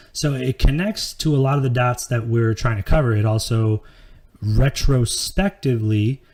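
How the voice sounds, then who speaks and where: Medium in pitch, a man's voice is dark, mellow and somewhat breathy. He keeps a moderate pace. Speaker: podcast host. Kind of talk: live podcast monologue. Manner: casual, filler-heavy.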